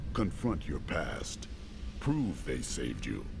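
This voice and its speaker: Putting on a character voice, a man talks at a fairly slow pace against loud background noise. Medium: video game. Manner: calm, resolute.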